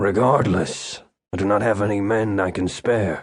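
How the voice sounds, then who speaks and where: A man's put-on character voice, raspy and fairly low in pitch, with fairly even intonation at a moderate pace. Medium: read story. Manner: curt, guarded.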